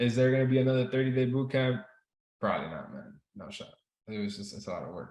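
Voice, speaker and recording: Speaking very fast with a Spanish accent, a man with a medium-pitched voice uses an animated tone and very wide pitch swings. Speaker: trading instructor. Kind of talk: live online class. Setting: video call. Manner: casual, animated.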